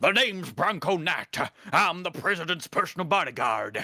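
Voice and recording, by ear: A man's put-on character voice, high-pitched, at a moderate pace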